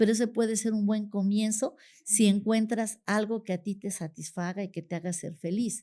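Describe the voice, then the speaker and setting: This woman's fairly high voice has a dark, mellow tone and fairly even intonation. The recording is very clean, with a silent background. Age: 60s. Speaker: retired teacher. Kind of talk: interview conversation. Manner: hesitant, with fillers.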